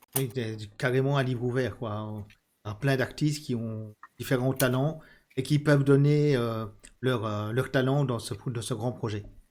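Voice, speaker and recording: In a very clean recording with a silent background, a man speaks at a medium pitch and a fairly slow pace with fairly even intonation. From Belgium, Charleroi region. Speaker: video game channel host. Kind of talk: interview.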